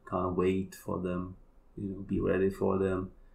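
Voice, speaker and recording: A man's very deep, low, somewhat breathy voice with a Polish accent. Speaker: kambo practitioner and healer. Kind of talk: casual chat.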